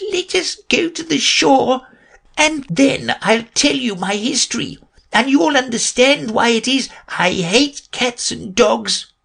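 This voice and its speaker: In a put-on character voice, the speaker talks at a fairly high pitch and fairly slow pace, sounding shaky and leaving long, frequent pauses. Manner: low, trembling with passion.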